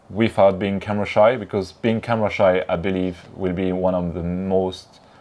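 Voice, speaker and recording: In a French accent, a man talks at a very deep, low pitch with monotone, flat intonation. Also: moderate pace. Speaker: BMX YouTuber. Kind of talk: interview.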